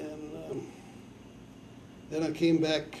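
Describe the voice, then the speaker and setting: With an American accent, the speaker goes at a very slow pace over noticeable background noise and audible room echo. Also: man. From Nebraska and northern Colorado, US. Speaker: farmer and army veteran interviewee. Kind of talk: oral history interview. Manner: halting, with many fillers.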